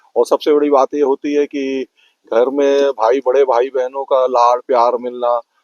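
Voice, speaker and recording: This is a man speaking. His pitch is medium. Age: 60s. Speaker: parent of podcaster. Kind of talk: interview.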